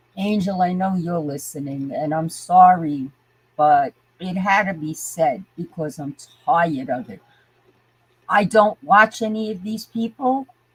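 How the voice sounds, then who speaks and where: Speaking at a fairly slow pace, a woman with a medium pitch sounds somewhat breathy, her intonation lively and her loudness swinging widely. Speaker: livestreamer. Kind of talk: live stream chat rant. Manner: animated.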